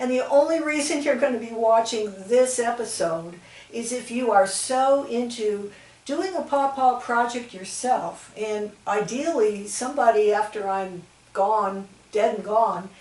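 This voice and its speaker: A woman talks at a fairly slow pace over noticeable background noise. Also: ordinary pitch variation. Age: 70s. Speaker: naturalist, pawpaw rewilding volunteer. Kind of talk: video introduction to camera.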